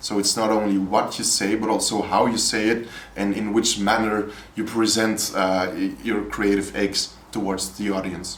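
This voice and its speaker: A man with a Flemish accent speaks at a moderate pace in monotone, flat intonation. Noticeable background noise and audible room echo surround his voice. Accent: Flemish Dutch. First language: Dutch. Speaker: poet and educator. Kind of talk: interview. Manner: halting, with repetitions and hesitations.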